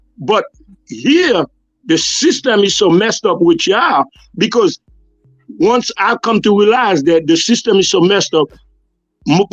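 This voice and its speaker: A man's high-pitched voice with very wide pitch swings at a moderate pace, music playing behind. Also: dry, close sound with no echo. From Haiti. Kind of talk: casual chat. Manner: animated.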